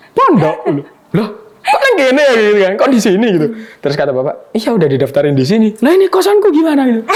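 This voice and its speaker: Over noticeable background noise, a man with a Javanese accent talks at a very fast pace and an extremely high pitch, his pitch swinging very widely while his loudness stays very even. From Java, Indonesia. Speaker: university student. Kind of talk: casual chat. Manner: animated.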